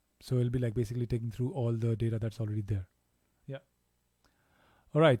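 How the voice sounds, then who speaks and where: This man talks at a fairly quick pace with a medium pitch and a dark, mellow tone that is somewhat breathy. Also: long, frequent pauses. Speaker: DJ giving a software tutorial. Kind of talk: tutorial. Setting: live stream. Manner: casual, many fillers.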